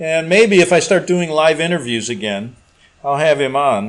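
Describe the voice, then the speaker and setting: Using a normal speaking voice, a man with an American accent talks at a moderate pace with a fairly high pitch and lively intonation. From US Midwest, Chicago. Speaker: talk radio host. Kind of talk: casual monologue reading listener email. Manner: rambling, conversational with many fillers.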